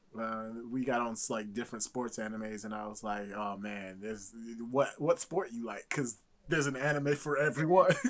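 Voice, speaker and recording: A man's plain, everyday voice at a medium pitch, with ordinary pitch variation and a moderate pace. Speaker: podcast co-host. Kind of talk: casual chat.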